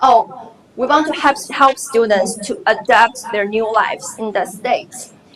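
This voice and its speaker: A Chinese accent at a fairly slow pace, with ordinary pitch variation and noticeable background noise. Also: woman. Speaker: graduate student presenter. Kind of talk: conference presentation. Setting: conference session.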